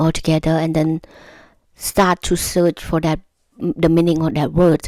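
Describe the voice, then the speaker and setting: A woman speaks with a non-native accent. Her pitch is fairly low. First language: not English. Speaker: YouTuber giving language-learning tips. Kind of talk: casual tutorial to camera. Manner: halting, with self-corrections and repetitions.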